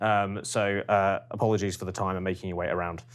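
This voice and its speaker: On a very clean recording with silence behind him, a man races through his words. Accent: British. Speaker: focus group moderator. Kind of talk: focus group moderation. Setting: room with group, recorded. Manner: hesitant, many ums.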